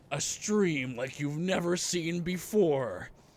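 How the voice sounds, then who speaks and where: This man's voice is a put-on character voice. It sits high for him. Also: fairly slow pace, ordinary pitch variation. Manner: dramatic, announcing.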